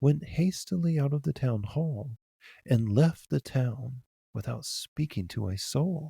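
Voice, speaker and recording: On a very clean, dry, close recording with a silent background and no echo, a man at medium pitch speaks at a fairly slow pace in a calm, dark, mellow, somewhat breathy tone with lively intonation. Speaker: audiobook narrator. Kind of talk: fairy tale reading. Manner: calm, plain.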